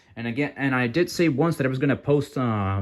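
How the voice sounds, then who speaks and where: A man mumbles at a fairly quick pace, his pitch medium with ordinary variation. The recording is very clean, with a silent background. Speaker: card game youtuber. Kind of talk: deck profile tutorial. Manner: halting, many fillers; mumbling.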